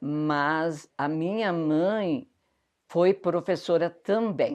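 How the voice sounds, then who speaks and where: A woman's very deep, low-pitched voice is heard over a quiet background. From southern Brazil, Rio Grande do Sul. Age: 70s. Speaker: interviewee recalling local history. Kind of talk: oral history interview.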